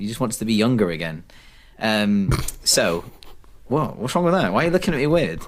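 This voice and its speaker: A man with a London accent speaks at a fairly quick pace and a medium pitch, with very wide pitch swings. Long, frequent pauses break up his speech, and room echo is audible. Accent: English (London-area). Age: 30s. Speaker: podcast host. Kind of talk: casual chat.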